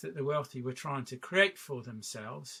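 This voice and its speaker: The voice carries a southern English accent. Its tone is bright and sharp. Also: man, very clean recording, silent background. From southwest England. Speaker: artist and walking practitioner. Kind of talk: workshop talk. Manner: halting, many fillers.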